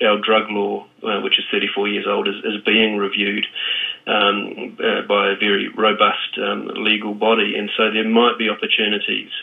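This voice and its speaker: With a New Zealand accent, a man speaks at a moderate pace. His pitch is fairly low. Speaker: drug policy advocate. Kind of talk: radio interview. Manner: halting, many fillers and repeats.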